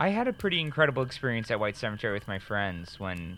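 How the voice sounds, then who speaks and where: With an American accent, a man talks at a very fast pace. His pitch is fairly low and his tone bright and sharp. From northern Illinois. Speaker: podcast host and storyteller. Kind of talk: storytelling.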